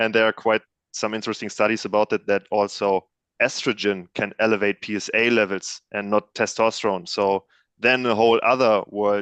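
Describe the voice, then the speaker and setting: In a German accent, a man speaks at a fairly quick pace with a fairly low pitch and monotone, flat intonation, the sound dry and close with no echo over a quiet background. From Germany, near Cologne. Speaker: panel guest. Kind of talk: casual chat.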